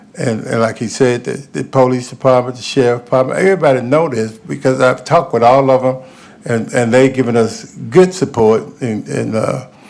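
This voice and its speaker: A man speaks with a Memphis accent at a fairly quick pace. Noticeable background noise runs behind him. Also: medium pitch for a man, ordinary pitch variation. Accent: Southern US (Memphis). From US South, Memphis, Tennessee. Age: 70s. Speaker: youth sports coach. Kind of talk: public comment at government meeting. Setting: county commission meeting chamber. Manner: halting, repetitive.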